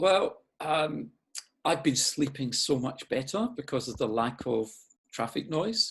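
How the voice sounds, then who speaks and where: Against a quiet background, a man with a fairly high pitch speaks at a fairly slow pace. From Scotland, Glasgow. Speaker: urban designer. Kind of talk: interview. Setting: video call. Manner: halting.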